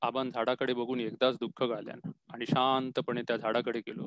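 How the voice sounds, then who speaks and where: The sound is dry and close, with no echo. A man speaks at a medium pitch with fairly even intonation. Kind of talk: story reading.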